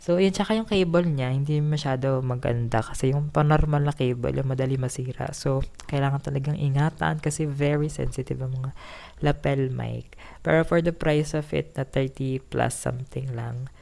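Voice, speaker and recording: On a very clean recording with a silent background, a woman speaks at a moderate pace in a very deep, low pitch, her tone dark and mellow and her pitch varying in an ordinary way. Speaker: vlogger. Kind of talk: casual vlog talk. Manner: speaking louder than usual. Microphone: new cheap lapel mic being tested.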